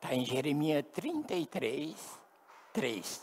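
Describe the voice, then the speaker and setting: A man speaks at a very slow pace. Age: 70s. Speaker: pastor. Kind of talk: sermon.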